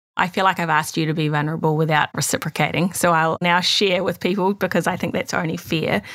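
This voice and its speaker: At a very fast pace with hardly any pauses, the speaker holds a monotone, flat intonation and very even loudness over noticeable background noise. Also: woman, fairly low pitch for a woman. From moved countries as a child. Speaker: clinical psychologist and podcast co-host. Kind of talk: casual chat. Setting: video call.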